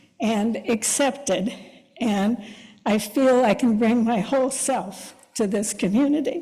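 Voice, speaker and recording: Somewhat breathy and fairly high, a woman's voice shows ordinary pitch variation amid audible room echo. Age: 70s. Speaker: congregation member. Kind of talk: personal testimony. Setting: church service.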